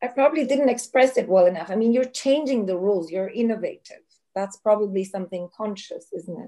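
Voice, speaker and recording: The speaker talks at a fairly quick pace in a Turkish accent, with a dark, mellow tone and ordinary pitch variation over a quiet background. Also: woman, big swings in loudness. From Turkey. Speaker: event moderator. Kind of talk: moderated Q&A. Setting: video call. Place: home room. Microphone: video call.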